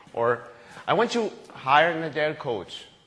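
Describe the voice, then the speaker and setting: This man's voice sits fairly high and swings very widely in pitch. He speaks with a Spanish accent. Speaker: agile coach, conference speaker. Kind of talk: conference talk. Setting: stage with audience. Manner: halting, self-correcting.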